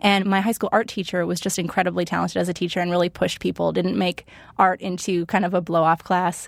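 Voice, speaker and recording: On a very clean recording with a silent background, a woman with an American accent speaks at a very fast pace, her fairly low pitch flat and monotone, with vocal fry. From Pennsylvania, US. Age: 20s. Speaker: lettering artist and illustrator. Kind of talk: interview. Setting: studio.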